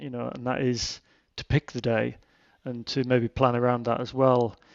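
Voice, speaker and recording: A man with a northern English accent speaks in a monotone, flat intonation. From Cumbria, northern England. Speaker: mountain guide. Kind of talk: casual interview chat.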